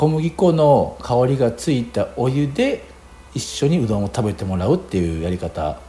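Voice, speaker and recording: With very wide pitch swings, a man of medium pitch speaks at a moderate pace. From Japan, Hiroshima. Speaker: chef. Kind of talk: radio interview. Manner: halting, many fillers.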